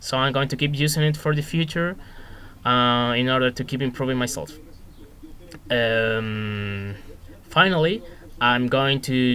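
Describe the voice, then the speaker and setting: Speaking fairly slowly in a Spanish accent, a man with a medium pitch and ordinary pitch variation has a bright, sharp tone and takes long, frequent pauses. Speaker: student teacher. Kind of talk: reflective monologue. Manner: hesitant, many fillers.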